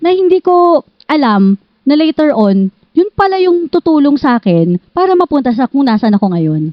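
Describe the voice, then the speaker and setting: A woman talks at high pitch with very wide pitch swings. Her pace is moderate and her loudness very even. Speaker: journalist. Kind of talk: interview.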